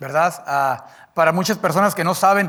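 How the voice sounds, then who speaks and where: Bright and sharp in tone, a man's high-pitched voice moves through ordinary pitch variation. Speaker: preacher. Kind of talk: sermon. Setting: church. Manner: halting.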